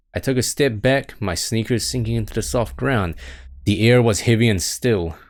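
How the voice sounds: Fairly even intonation in a natural reading voice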